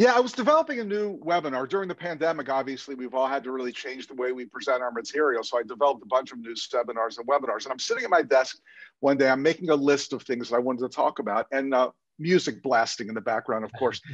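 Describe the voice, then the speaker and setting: Talking at a very fast pace, a man shows big swings in loudness and ordinary pitch variation. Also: medium pitch for a man. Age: 60s. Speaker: dentist and dental consultant. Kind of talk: casual chat.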